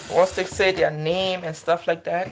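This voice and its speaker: Noticeable background noise runs under words delivered at a fairly slow pace. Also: woman. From Liberia. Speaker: nurse. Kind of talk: casual livestream chat while cooking.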